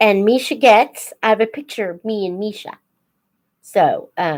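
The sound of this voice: A woman talks slowly at a medium pitch. Her tone is slightly mellow.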